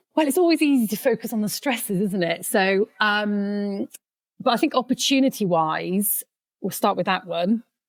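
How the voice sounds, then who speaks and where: A woman speaks fairly slowly at medium pitch in a Welsh accent, with lively intonation. The sound is dry and close, with no echo. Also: very clean recording, silent background. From Wales. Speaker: sheep consultant. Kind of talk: casual chat. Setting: podcast studio.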